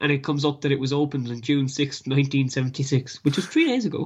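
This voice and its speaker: Someone with a Kerry accent talks at a very fast pace in a somewhat breathy voice with monotone, flat intonation. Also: man. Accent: Kerry Irish. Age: young. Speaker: sports podcast co-host. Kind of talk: casual sports chat. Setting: remote over Skype. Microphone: Skype line, lower quality.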